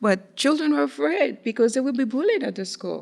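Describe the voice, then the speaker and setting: A woman speaks in a strong Haitian accent. The recording is very clean, with a silent background. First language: Haitian Creole. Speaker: community speaker on Haitian heritage. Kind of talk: podcast discussion. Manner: halting, many fillers.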